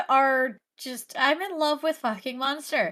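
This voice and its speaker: A woman uses a raised, projected voice that is high in pitch with a bright, sharp tone, speaking fairly slowly on a very clean recording with a silent background. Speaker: podcast co-host. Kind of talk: casual chat. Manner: animated.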